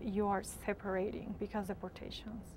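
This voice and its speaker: A woman speaks with a Spanish accent at a moderate pace. Her pitch is fairly high. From Latin America. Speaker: university student. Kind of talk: interview.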